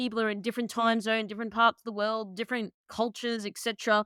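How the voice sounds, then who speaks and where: A woman speaks with an Australian accent in a fairly high pitch, her tone bright and sharp. The recording is very clean, with a silent background. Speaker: podcast host. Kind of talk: interview.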